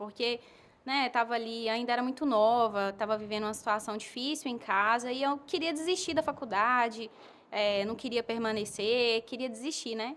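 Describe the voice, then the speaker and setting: With ordinary pitch variation, this woman keeps to a moderate pace. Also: very clean recording, silent background. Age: 20s. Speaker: advertising professional and missionary. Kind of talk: podcast interview. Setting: home.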